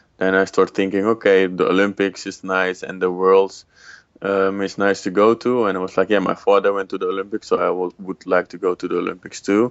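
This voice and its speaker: In a Dutch accent, a man with a fairly low voice talks at a fairly quick pace with monotone, flat intonation. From Netherlands. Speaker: former judo world champion and psychologist. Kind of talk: interview. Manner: halting, many fillers.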